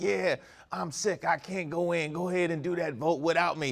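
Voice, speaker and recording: Putting on a character voice, a man speaks high and gravelly at a moderate pace with light background noise. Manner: feigned, weak.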